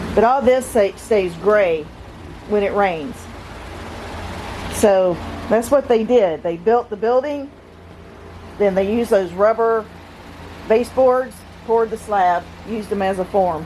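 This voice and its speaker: A woman with a fairly high pitch and ordinary pitch variation speaks at a fairly slow pace, leaving long, frequent pauses over noticeable background noise. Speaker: home renovation vlogger. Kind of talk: casual video narration. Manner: halting.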